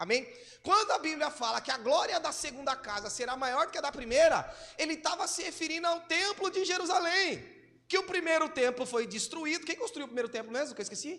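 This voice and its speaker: A man with an extremely high pitch speaks in a raised, projected voice, his bright, sharp tone carried by lively intonation. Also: fairly quick pace. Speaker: pastor. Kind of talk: sermon. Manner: fast.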